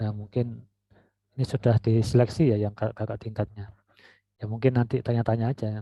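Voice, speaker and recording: Soft-spoken and fairly quick, a man delivers flat, monotone speech at a medium pitch, his tone dark and mellow, in a dry, close sound with no echo. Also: quiet background. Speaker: university lecturer. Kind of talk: lecture.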